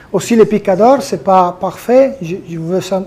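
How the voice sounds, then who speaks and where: There is noticeable background noise as a man talks at a very slow pace with a high pitch. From Italy. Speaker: orthopedic surgeon. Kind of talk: conference presentation. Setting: conference hall with audience. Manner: halting.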